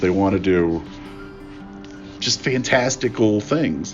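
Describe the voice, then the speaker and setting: Over music in the background, a man with an American accent speaks with lively intonation. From Appalachia, West Virginia. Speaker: artist and politics professor. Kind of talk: interview answer. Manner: casual, hesitant.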